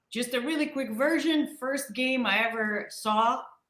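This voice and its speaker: A woman's bright, sharp tone rings out with audible room echo. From outside the US, came to Pittsburgh as a child. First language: not English. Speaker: show producer. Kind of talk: casual chat.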